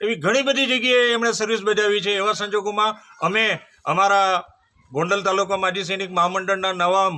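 A man's raised, projected voice, high in pitch, with a bright, sharp tone and fairly even intonation. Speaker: ex-servicemen association vice president. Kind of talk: short speech to camera.

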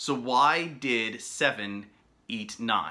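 There is light background noise as a man talks with ordinary pitch variation. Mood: calm, gentle, bedtime tone. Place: home room. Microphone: webcam.

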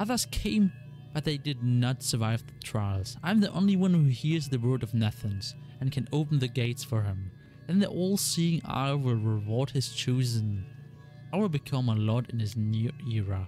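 A growling, hissing character voice is put on at a moderate pace. Background noise is clear. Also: man, medium pitch for a man. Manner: menacing, raving, fanatical.

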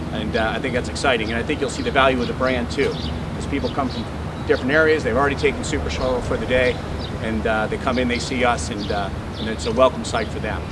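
Over loud background noise, a man speaks very fast with ordinary pitch variation. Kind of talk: ceremony speech. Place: street.

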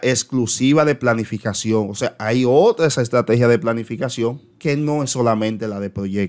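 A man talks fairly slowly, and the background is quiet. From Dominican Republic. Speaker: teacher and education YouTuber; teacher explaining a circular. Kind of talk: educational commentary on an official circular. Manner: hesitant, frequent filler eh. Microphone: webcam.

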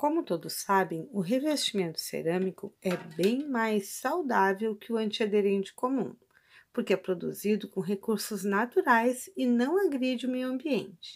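Intonation is lively as a woman speaks in a Brazilian accent at a fairly slow pace. The background is quiet. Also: fairly high pitch for a woman. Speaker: product reviewer. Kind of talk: casual product demo. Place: kitchen.

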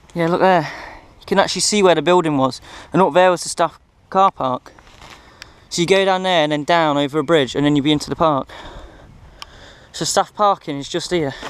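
Dry with no echo, the recording has a man speaking at a fairly quick pace and high pitch with fairly even intonation. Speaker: urban explorer vlogger. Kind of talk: casual vlog chat. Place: open country. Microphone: phone near.

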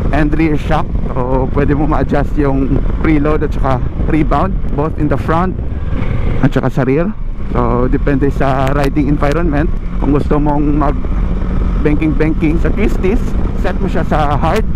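A man talks with long, frequent pauses over noticeable background noise, the sound dry with no echo. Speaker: motorcycle vlogger riding with passenger. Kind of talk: casual moto vlog commentary. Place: motorbike. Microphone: helmet.

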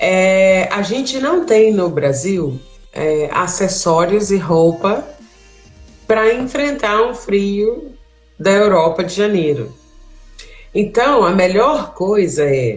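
Faint music plays in the background as a woman talks at a very slow pace. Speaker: travel tips host. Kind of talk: casual conversation giving advice. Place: home room. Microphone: video call.

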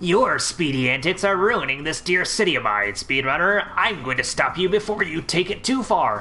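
A man puts on a strained, high-pitched character voice at a moderate pace. He leaves hardly any pauses, and clear background noise is present. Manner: menacing.

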